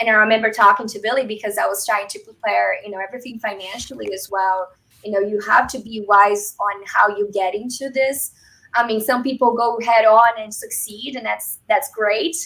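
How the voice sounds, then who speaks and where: A woman with a Brazilian Portuguese accent speaks at a moderate pace in a fairly high, bright, sharp voice with fairly even intonation and big swings in loudness. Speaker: real estate agent and military veteran. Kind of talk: interview.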